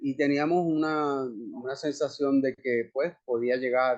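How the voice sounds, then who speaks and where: A man with a Puerto Rican accent and fairly high pitch at a very slow pace against a quiet background. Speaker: actor. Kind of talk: interview conversation. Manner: monotone.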